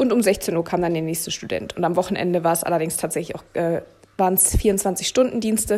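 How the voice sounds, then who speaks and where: A woman at medium pitch talks at a very fast pace with fairly even intonation. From Berlin, Germany. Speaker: cattle veterinarian and podcast host. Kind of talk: casual monologue. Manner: hesitant with many fillers.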